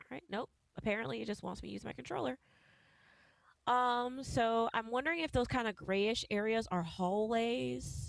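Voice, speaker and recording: Speaking at a fairly high pitch, a woman uses lively intonation in a Southern US accent. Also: moderate pace. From US South. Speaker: game streamer. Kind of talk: live gameplay commentary. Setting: live stream. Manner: casual, chatty.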